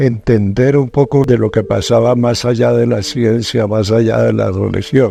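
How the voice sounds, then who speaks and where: Fairly slow and fairly even in intonation, a man talks at a medium pitch. His tone is dark and mellow. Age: 70s. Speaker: paranormal TV journalist. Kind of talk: interview testimony.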